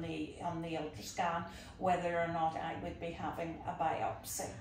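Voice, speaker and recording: Over noticeable background noise and audible room echo, a woman with a Northern Irish accent talks at a fairly low pitch and fairly slow pace. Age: 60s. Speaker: patient. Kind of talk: interview testimony. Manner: calm.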